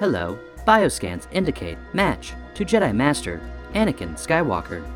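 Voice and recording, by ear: A man puts on a robotic character voice at a moderate pace. Clear music plays in the background.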